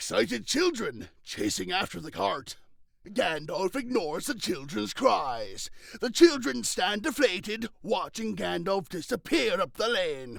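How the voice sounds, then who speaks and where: He talks rather slowly. His voice is high and clearly a put-on character. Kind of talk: script stage directions. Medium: solo performance.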